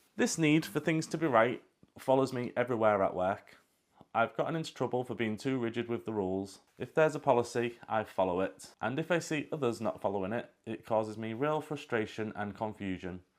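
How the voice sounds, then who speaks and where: On a very clean recording with a silent background, a man with a British accent talks at a fairly quick pace. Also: medium pitch for a man, ordinary pitch variation. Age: 40s. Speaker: vlogger. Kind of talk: personal monologue.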